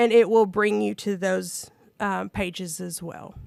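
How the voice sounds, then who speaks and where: A woman with an ordinary speaking voice, fairly even intonation and a fairly slow pace, in a very clean recording with a silent background and a dry, close sound with no echo. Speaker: state program presenter. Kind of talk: presentation at public meeting.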